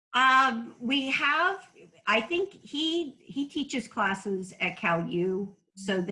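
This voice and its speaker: A loud woman's voice with a fairly high pitch, very wide pitch swings and a very slow pace. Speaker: middle school teacher. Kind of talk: casual chat.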